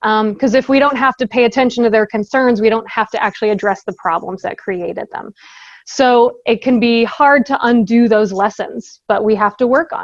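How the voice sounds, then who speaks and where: A woman talks in a normal speaking voice, fairly high in pitch, with ordinary pitch variation. Her moderate pace comes through in a dry, close sound with no echo. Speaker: safety trainer and presenter. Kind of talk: training presentation. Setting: virtual presentation.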